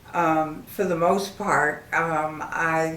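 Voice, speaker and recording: Amid noticeable background noise and audible room echo, a woman with an American accent speaks very slowly in a flat monotone at a fairly low pitch. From Connecticut, Hartford. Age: 70s. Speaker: elderly woman telling her life story. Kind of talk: life story monologue. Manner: halting, with frequent fillers.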